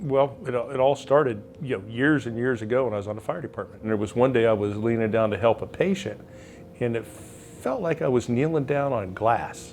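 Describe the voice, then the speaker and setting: The man has a normal speaking voice at a medium pitch. He speaks at a fairly quick pace with ordinary pitch variation. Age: 60s. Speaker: retired firefighter and patient, now auctioneer. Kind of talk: testimonial interview.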